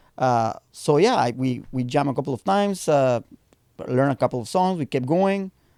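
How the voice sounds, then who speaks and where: Speaking at a moderate pace with a Spanish accent, a man of medium pitch makes very wide pitch swings in a dry, close recording with no echo. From Mexico. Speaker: punk band bassist. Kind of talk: casual podcast interview chat.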